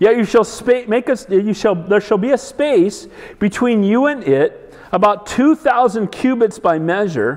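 Over a quiet background, a man with a high pitch speaks at a fairly slow pace. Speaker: pastor. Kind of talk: sermon. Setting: church. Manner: animated, emphatic preaching with call-and-response prompts; direct, exhorting congregation. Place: hall. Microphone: lapel.

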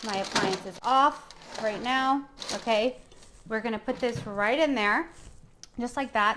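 At a moderate pace and with ordinary pitch variation, the voice comes through over light background noise. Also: woman. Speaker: chef host. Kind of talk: cooking tutorial. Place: kitchen. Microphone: camera far.

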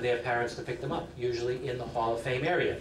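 A man speaks over noticeable background noise. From New England. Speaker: master of ceremonies. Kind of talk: ceremony speech. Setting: stage with audience. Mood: warm, proud. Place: hall. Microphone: podium.

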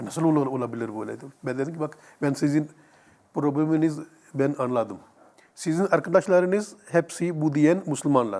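With long, frequent pauses, the speech runs at a moderate pace and shows ordinary pitch variation. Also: man, fairly high pitch for a man. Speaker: imam, Islamic teacher answering viewer questions. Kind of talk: religious Q&A answer. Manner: halting, filler-heavy, repeating words.

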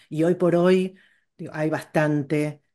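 A woman's very deep, low voice in a Rioplatense accent, with fairly even intonation and a quiet background. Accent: Argentine Spanish (rioplatense). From Argentina. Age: 50s. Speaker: educational psychologist and teacher; teacher. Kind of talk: interview. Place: home room. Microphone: earbuds.

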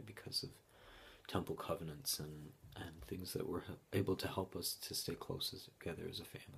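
The voice is somewhat breathy. It belongs to a man with an American accent. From Utah. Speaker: bereaved father. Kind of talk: testimony. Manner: halting.

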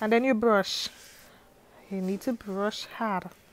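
With noticeable background noise behind her, a woman talks fairly slowly in a playful tone, her fairly high pitch held in a monotone, flat intonation. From Grenada. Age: young. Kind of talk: hair tutorial voice-over. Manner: playful, humorous.

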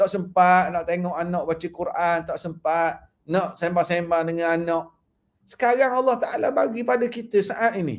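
A high-pitched man at a moderate pace, with ordinary pitch variation. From Malaysia. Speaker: Islamic preacher; religious teacher, guest. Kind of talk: religious talk on livestream. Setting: live online broadcast. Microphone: webcam.

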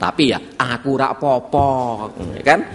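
A man speaks while faint background noise sits behind him. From Central Java. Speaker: pastor. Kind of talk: sermon. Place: church.

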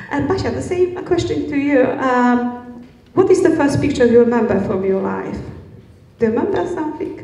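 In a Polish accent, a woman speaks at a moderate pace with a high pitch and very wide pitch swings, amid audible room echo. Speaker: event moderator. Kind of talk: panel discussion. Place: hall. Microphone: handheld.

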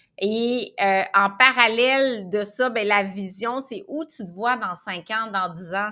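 A woman's fairly high, bright, sharp voice at a very slow pace, with hardly any pauses, big swings in loudness, ordinary pitch variation and a quiet background. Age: 50s. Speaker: nutritionist and entrepreneur; guest. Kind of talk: interview. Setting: podcast. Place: office.

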